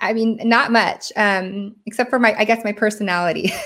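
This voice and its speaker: Captured in a very clean recording with a silent background, the speaker talks fairly slowly with an American accent. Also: woman. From Washington State, US. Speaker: solar sales professional. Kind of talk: interview.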